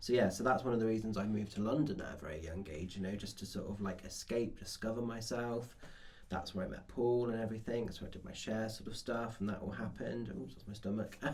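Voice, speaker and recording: A man with an English accent, fairly low pitch and ordinary pitch variation at a very fast pace, with audible room echo. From England, small town. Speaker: podcast co-host. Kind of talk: casual chat.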